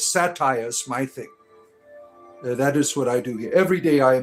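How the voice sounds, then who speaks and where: With music in the background, a man speaks using ordinary pitch variation. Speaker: livestreamer doing comedy and spirituality. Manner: casual, rambling with fillers.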